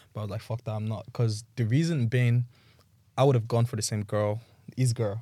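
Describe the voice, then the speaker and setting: On a very clean recording with a silent background, a man talks at a fairly quick pace. His voice is somewhat breathy, medium in pitch, with fairly even intonation. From Nigeria, Lagos. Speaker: reality TV contestant. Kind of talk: casual chat.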